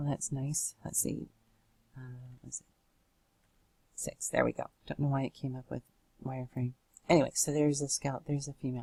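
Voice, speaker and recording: A woman's very deep, low voice in a dark, mellow tone, monotone and flat, fairly quick with long, frequent pauses and big swings in loudness, dry and close with no echo. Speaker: software tutorial maker. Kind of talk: tutorial. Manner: halting, many fillers.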